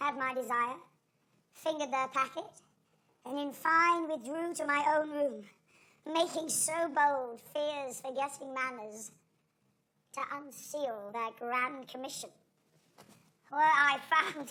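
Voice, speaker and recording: Using a put-on character voice, a woman speaks at a high pitch and fairly slow pace with fairly even intonation and long, frequent pauses. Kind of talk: Shakespearean stage acting. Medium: stage play. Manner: declamatory, intense.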